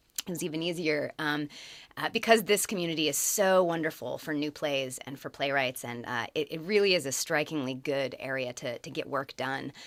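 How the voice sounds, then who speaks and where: A woman with a very deep, low pitch and an American accent, fairly quick, with ordinary pitch variation, big swings in loudness, and a very clean recording over a silent background. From US South, Georgia (Decatur near Atlanta). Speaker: playwright. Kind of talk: radio interview.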